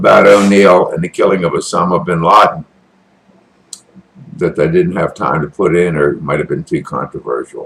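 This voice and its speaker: A man with an American accent at a moderate pace, with long, frequent pauses. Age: 60s. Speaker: military veteran and online commentator. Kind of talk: casual political commentary monologue. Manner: animated.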